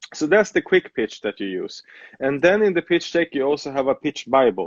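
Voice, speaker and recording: A man's fairly high, lively voice at a fairly quick pace, a normal speaking voice. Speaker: TV producer. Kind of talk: interview.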